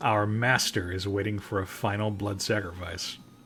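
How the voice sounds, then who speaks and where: A man puts on a raspy character voice at a fairly low pitch, his intonation monotone and flat. He keeps a moderate pace over clear background noise. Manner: menacing.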